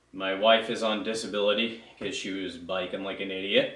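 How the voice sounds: In a room with strong echo, a man speaks at a fairly low pitch and moderate pace with fairly even intonation. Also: fairly bright tone.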